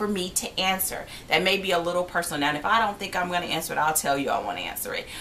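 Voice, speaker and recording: Amid noticeable background noise and audible room echo, a woman speaks with ordinary pitch variation. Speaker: vlogger and yarn crafter. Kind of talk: casual vlog Q&A. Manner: fast.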